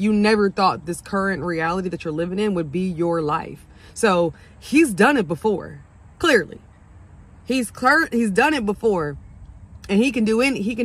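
With lively intonation, a woman speaks at a moderate pace, the sound dry with no echo. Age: 30s. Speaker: esthetician and faith vlogger. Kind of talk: casual talk to camera. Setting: outdoors. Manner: earnest, heartfelt. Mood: passionate, preachy. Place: car. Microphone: earbuds.

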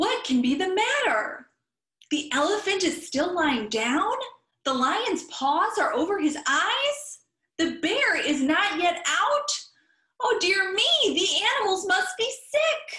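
A cartoonish character voice at an extremely high pitch with very wide pitch swings. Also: fairly slow pace. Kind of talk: children's story time puppet play. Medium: puppet show. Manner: fretful, anxious.

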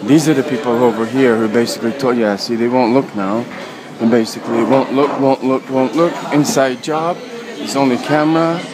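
A man talks at a moderate pace with ordinary pitch variation. Crowd noise is heard behind him. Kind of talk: agitated walking vlog commentary. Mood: agitated, accusatory. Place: station. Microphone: phone near.

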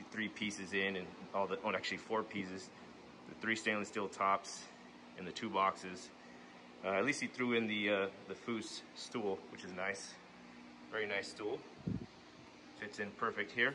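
A man's fairly low, bright, sharp voice at a moderate pace with fairly even intonation, over noticeable background noise. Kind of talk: casual vlog chat. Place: garage. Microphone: phone near.

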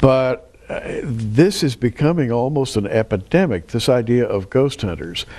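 At a fairly slow pace, a man speaks in an ordinary speaking voice of medium pitch with lively intonation. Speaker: TV show host. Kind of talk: interview about Bible prophecy. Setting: studio.

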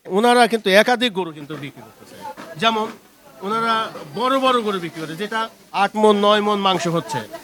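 The loudness swings widely and the pitch varies in an ordinary way. Noticeable background noise is present. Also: man, high pitch for a man. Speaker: video reporter. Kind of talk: street interview and presenting.

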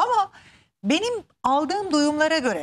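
A woman speaks at a moderate pace. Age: 30s. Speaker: TV show host. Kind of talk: TV interview. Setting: TV studio. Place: studio.

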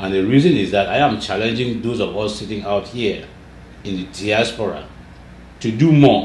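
A somewhat breathy man speaks at a moderate pace with a fairly low pitch. Audible room echo and light background noise are present. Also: ordinary pitch variation. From Cameroon (anglophone Southern Cameroons). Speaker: political activist leader; interview guest. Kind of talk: interview conversation. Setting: studio interview. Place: office.

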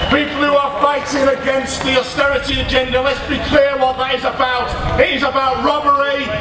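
A man speaks in a raised, projected voice with an extremely high pitch and flat, monotone intonation at a moderate pace, with audible room echo and noticeable background noise. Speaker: trade union leader. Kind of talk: rally speech. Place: stage.

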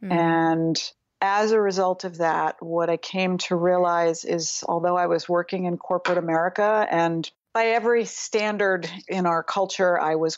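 A woman with an ordinary speaking voice talks in a fairly low pitch with fairly even intonation. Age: 50s. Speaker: psychotherapist and psychodrama trainer. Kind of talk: interview. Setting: video call.

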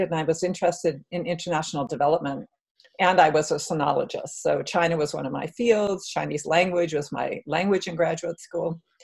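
Against a quiet background, a woman speaks at a fairly quick pace in a somewhat breathy, fairly low-pitched voice. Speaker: professor, keynote speaker. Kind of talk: interview answer. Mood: warm, reflective. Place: home room. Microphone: webcam.

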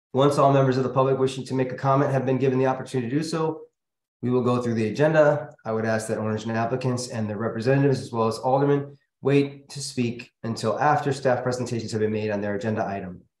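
A man talks at a very fast pace with fairly even intonation, and audible room echo surrounds his voice. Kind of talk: formal meeting procedure reading. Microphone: video call.

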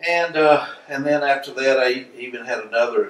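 At a fairly slow pace, a man with an American accent speaks amid light background noise and audible room echo. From US South, South Carolina. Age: 60s. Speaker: spiritual healer; interviewee. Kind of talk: interview. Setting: filming location in Hawaii. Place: home room.

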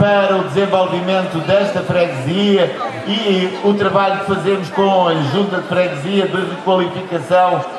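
Speaking at a high pitch and a fairly slow pace, a man holds a monotone, flat intonation and very even loudness, with audible room echo and noticeable background noise. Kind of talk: public speech. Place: stage.

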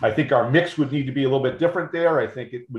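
A man's voice comes through somewhat breathy. There is audible room echo. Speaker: project representative presenting plans. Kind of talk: public meeting presentation. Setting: video call. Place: office. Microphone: video call.

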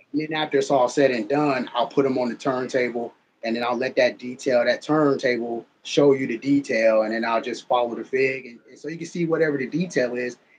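Light background noise sits behind a man's voice. He speaks at a fairly quick pace with fairly even intonation. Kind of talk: casual conversation. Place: home room. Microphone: video call.

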